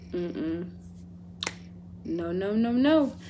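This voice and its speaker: There is audible room echo around the voice. A woman talks at a very slow pace. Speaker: vlogger. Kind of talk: storytime vlog, casual chat. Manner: animated; stuttering.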